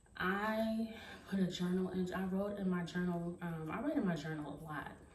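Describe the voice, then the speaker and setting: The pace is fairly slow. Noticeable background noise and audible room echo fill the recording. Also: woman. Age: 40s. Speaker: beauty and fashion vlogger. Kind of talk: motivational monologue to camera. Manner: earnest, encouraging; hesitant with fillers.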